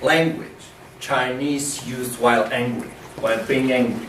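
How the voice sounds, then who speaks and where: A man talks at a fairly slow pace while noticeable background noise and audible room echo fill the recording. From Poland. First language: Polish. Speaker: China researcher. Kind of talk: lecture. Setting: university lecture room with audience. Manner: halting, with many fillers.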